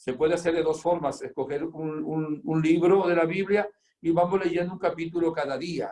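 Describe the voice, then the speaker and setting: Speaking at a moderate pace, a man uses a high pitch and a dark, mellow tone with fairly even intonation. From Spain, province of Zamora, then Venezuela from age 17. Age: 70s. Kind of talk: religious teaching in an interview; interview answers about his life.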